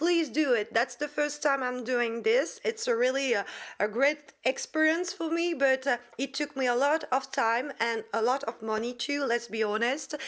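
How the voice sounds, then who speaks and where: This woman speaks with a French accent at a high pitch. Her pace is moderate and her pitch variation ordinary. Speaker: Wiccan content creator. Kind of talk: casual outro appeal to viewers; tutorial. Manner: halting, many fillers.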